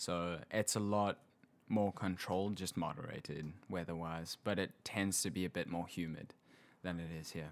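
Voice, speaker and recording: Speaking at a moderate pace, a man in a South African accent has a very deep, low pitch. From South Africa, Hillcrest near Pietermaritzburg. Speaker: guest, South African visiting the US. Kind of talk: casual interview conversation.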